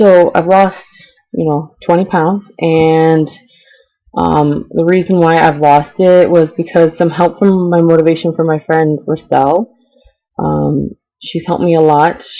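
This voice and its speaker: In an American accent, a woman speaks at a fairly low pitch and a fairly slow pace, her intonation monotone and flat. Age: 20s. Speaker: vlogger. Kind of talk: personal vlog. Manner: hesitant, many ums.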